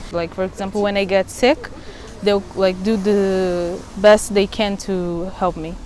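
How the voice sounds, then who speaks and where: A woman speaks at a medium pitch with a Portuguese accent. Her intonation is monotone and flat, with noticeable background noise. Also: fairly slow pace. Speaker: medical student. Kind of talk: interview monologue.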